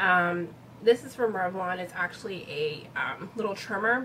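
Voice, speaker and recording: A woman speaks in a normal speaking voice at a moderate pace, her pitch varying in an ordinary way. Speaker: beauty vlogger. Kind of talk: product review vlog. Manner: casual, many fillers.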